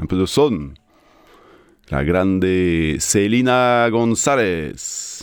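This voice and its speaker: Speaking very slowly in a French accent, the voice has lively intonation and long, frequent pauses, with audible room echo around it. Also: man, fairly low pitch for a man. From France (Strasbourg, Alsace). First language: French (speaking Spanish). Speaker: radio host. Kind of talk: radio music show presenting. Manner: casual and animated.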